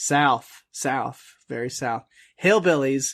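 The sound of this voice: An unforced reading voice sounds out over a quiet background.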